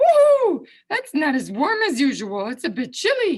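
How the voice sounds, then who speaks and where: Using a squeaky, put-on character voice, a woman talks at a moderate pace in a high pitch. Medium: read story.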